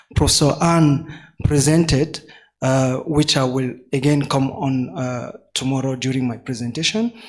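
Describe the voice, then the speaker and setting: At a very slow pace, a man in a French accent talks with a fairly high pitch and fairly even intonation. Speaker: postdoctoral researcher, genome subcommittee chair. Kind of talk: workshop panel introduction. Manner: halting, many fillers.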